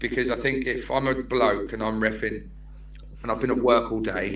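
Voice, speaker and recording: A man's fairly quick delivery amid audible room echo. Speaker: non-league football manager. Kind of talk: casual podcast interview. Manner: animated.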